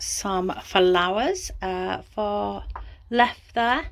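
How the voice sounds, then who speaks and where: A woman with an English Midlands accent talks in a medium pitch. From England, Coventry. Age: 60s. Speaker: small farmer. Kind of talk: casual vlog narration. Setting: outdoors on a farm and in a greenhouse. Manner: hesitant, with filler words.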